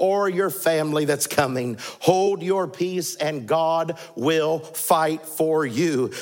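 A man talks in a high voice. Music plays in the background. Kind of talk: commencement sermon. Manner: impassioned, exhortative preaching with rising, emphatic delivery; repetitive, rhythmic, urging the graduates directly.

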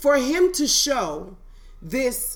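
Over noticeable background noise, a woman talks at a high pitch. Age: 30s. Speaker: poet and educator. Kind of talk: casual chat.

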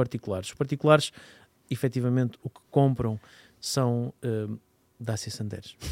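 A man at a medium pitch and moderate pace, with fairly even intonation, long, frequent pauses and big swings in loudness, in a dry, close sound with no echo. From northern Portugal. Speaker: car podcast host. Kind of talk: casual chat.

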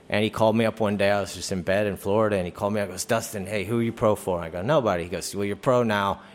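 A man with an American accent talks at a very fast pace. His pitch is fairly low and his intonation fairly even. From Virginia, Hampton area. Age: 40s. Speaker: professional skateboarder. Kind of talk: casual interview. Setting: live show in a hotel.

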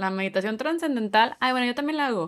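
A woman with an ordinary speaking voice and lively intonation. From Monterrey, northern Mexico. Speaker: comedian and podcast co-host. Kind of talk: casual chat.

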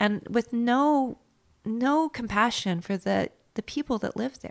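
Very clean, with a silent background, the recording captures a woman in a dry, close sound with no echo. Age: 50s. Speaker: fashion designer and business owner. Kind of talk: interview.

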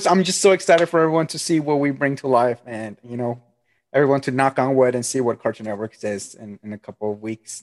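At a very fast pace, the speaker's loudness swings widely while pitch varies in an ordinary way, in a dry, close sound with no echo and a quiet background. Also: man, medium pitch for a man. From Colombia/Peru. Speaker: animator. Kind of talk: casual chat. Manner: animated.

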